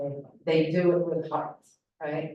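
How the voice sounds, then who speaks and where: The woman's pitch is very deep and low. She speaks at a moderate pace in a monotone, flat intonation. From Syria, Palestinian family. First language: Arabic. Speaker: political analyst and former spokesperson. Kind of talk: panel discussion. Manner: impassioned, halting with fillers.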